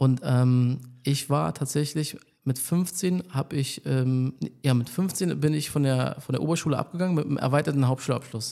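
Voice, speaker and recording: His voice is fairly high yet dark and mellow in tone as the man talks. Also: ordinary pitch variation, moderate pace. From Berlin, Germany (Polish roots). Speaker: barber and salon owner. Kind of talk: casual interview.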